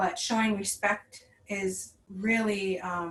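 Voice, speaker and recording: The speaker talks with an American accent and monotone, flat intonation. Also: woman. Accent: reservation accent, slight. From Red Lake Nation, northern Minnesota. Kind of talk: online workshop talk. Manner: casual, with many fillers.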